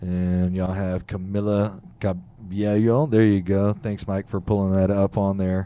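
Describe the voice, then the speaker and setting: In a very clean recording with a silent background, a man with a Texan accent talks at a fairly slow pace with hardly any pauses, his fairly low voice dark and mellow and his intonation flat and monotone. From Texas, Fort Bend County near Houston. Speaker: podcast host. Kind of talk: casual interview. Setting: studio, live streamed.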